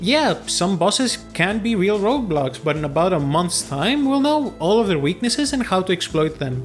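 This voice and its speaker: A man speaks with a Greek accent at a high pitch, his voice swinging very widely up and down. He keeps a moderate pace while music plays in the background. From Greece. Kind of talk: video game commentary.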